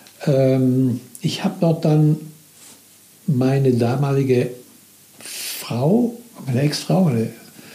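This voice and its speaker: Over noticeable background noise, a man speaks very slowly at very even loudness, with long, frequent pauses. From Italy (Milan). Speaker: former business manager telling his life story. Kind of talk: personal testimony. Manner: halting.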